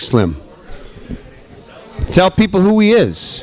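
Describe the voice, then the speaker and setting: Against noticeable background noise, a man with an American accent speaks with very wide pitch swings. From Connecticut. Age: old. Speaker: radio show host. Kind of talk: casual interview chat.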